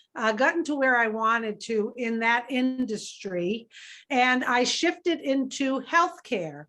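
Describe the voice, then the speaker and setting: The tone is bright and sharp. Delivery comes at a fairly slow pace. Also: woman. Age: 60s. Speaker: business network leader. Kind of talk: interview.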